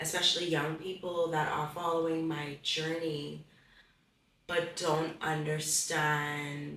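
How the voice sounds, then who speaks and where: Amid noticeable background noise and audible room echo, a woman with a very deep, low pitch speaks very slowly in a monotone, flat intonation. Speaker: pageant contestant. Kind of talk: testimony. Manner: halting.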